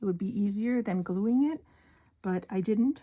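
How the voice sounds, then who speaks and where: A woman with an American accent speaks at a medium pitch and moderate pace, with ordinary pitch variation. Her tone is dark and mellow, and somewhat breathy. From northern Wisconsin. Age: 60s. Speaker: card-making crafter. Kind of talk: craft tutorial. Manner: soft-spoken; casual, with fillers.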